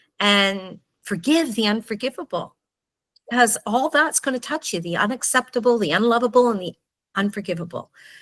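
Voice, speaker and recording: Here is a woman with an unremarkable speaking voice, fairly high in pitch with ordinary pitch variation. The sound is dry and close, with no echo. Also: very clean recording, silent background. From Canada. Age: 60s. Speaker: book author. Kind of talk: personal testimony.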